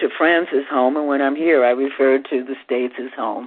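With an American accent, a woman talks at a moderate pace in a very deep, low pitch, against noticeable background noise. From US Midwest, Chicago. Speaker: singer and actress. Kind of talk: interview.

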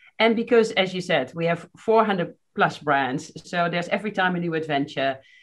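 A normal speaking voice from a woman, fairly low in pitch, with ordinary pitch variation and a moderate pace. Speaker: marketing executive. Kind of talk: casual interview.

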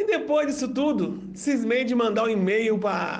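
Ordinary pitch variation in a man's speech, with audible room echo. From Brazil, Belo Horizonte. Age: 40s. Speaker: political candidate and event producer. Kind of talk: interview.

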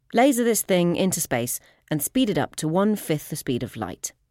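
On a very clean, dry and close recording with a silent background and no echo, a woman talks at a fairly quick pace with very wide pitch swings. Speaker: podcast host. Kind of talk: scripted narration. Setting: studio.

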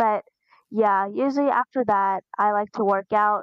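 A woman speaks in an ordinary speaking voice with a medium pitch, ordinary pitch variation and a moderate pace. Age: 20s. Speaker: college student with congenital heart disease. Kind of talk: interview testimony.

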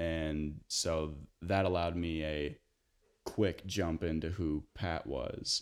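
A man with an American accent speaks very slowly in a very deep, low voice, his intonation flat and monotone, on a very clean recording with a silent background. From US Midwest, northern Illinois. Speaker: actor, graduate acting student. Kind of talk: casual chat.

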